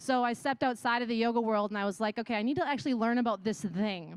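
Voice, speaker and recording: Against a quiet background, a woman with a Wisconsin accent speaks at a very fast pace in a high pitch with an animated tone. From Wisconsin, US Midwest. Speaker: yoga instructor and wellness business owner. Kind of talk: conference talk.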